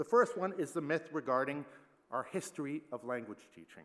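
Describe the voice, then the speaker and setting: A man speaks at a fairly quick pace in a fairly high pitch. His voice carries vocal fry. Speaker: plenary conference speaker, teacher trainer. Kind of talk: conference plenary talk.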